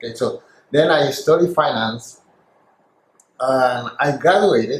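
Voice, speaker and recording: A man with a Spanish accent speaks in a somewhat breathy voice, his pitch rising and falling in an ordinary way. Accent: deep Spanish. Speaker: former financial salesperson. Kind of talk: interview.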